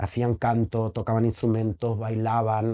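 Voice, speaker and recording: A man's dark, mellow voice at a medium pitch, set against a quiet background. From Germany. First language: German (speaking Spanish). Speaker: actor and theatre director. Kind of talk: interview. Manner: halting.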